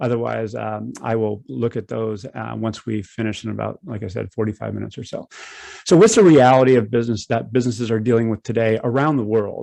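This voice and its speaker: Speaking very fast, a man talks with an American accent. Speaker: people analytics consultant and speaker. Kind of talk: conference talk. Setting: online webinar.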